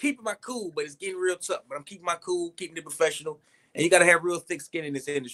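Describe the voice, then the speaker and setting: At a very fast pace, a man speaks with a high pitch and a bright, sharp tone. His loudness swings widely, and the sound is dry and close, with no echo. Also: ordinary pitch variation. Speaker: actor. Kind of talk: casual chat.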